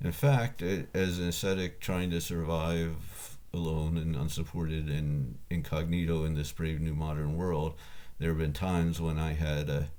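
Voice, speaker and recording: Heard with audible room echo, a man with a very deep, low pitch and a dark, mellow tone speaks at a moderate pace, his loudness very even and his intonation fairly even. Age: 60s. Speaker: ascetic philosopher and tutor. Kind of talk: reading aloud. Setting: home room, computer recording. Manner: halting.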